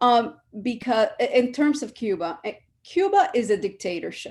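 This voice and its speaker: Vocal fry runs through this woman's voice. She talks at a fairly slow pace over a quiet background. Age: 60s. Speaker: panelist. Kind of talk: panel discussion.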